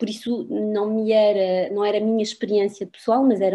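Dark, mellow tone from a woman speaking at a fairly quick pace. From France. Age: 50s. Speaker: university professor. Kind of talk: interview. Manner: halting.

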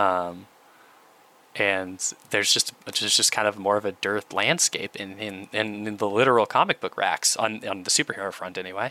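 A man with a normal speaking voice talks at a moderate pace with fairly even intonation, in a dry, close sound with no echo. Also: fairly low pitch for a man. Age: 30s. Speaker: podcast co-host. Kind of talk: casual chat.

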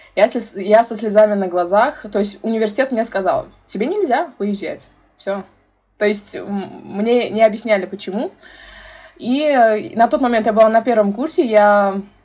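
Music in the background, under speech with ordinary pitch variation at a moderate pace. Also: woman, fairly high pitch for a woman. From Uzbekistan, Tashkent. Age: 20s. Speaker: youth activist and brand ambassador. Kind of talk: casual interview.

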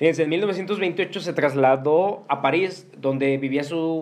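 A man speaks with a Mexican accent and ordinary pitch variation, with noticeable background noise behind him. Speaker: podcast host. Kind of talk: casual chat; reading aloud.

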